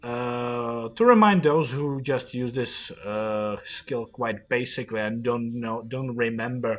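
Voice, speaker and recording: A man with a non-native accent talks at a very slow pace with hardly any pauses, at a medium pitch and with fairly even intonation. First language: not English. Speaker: video game streamer. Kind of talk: tutorial. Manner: halting.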